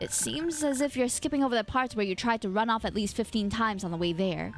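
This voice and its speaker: Against clear background noise, a put-on character voice rattles along at a very fast pace with a playful tone. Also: woman, fairly high pitch for a woman. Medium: virtual streamer. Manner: playful, teasing.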